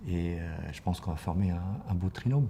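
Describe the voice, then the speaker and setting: A man speaks at a fairly quick pace with a very deep, low pitch and ordinary pitch variation. His tone is dark, mellow and somewhat breathy. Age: 60s. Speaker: professional coach. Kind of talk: interview. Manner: hesitant, many fillers and repetitions.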